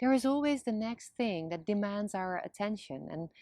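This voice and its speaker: Against a quiet background, a woman with a Dutch accent talks at a fairly slow pace. Her pitch sits at a medium level. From Netherlands. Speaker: video blogger. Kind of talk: scripted monologue.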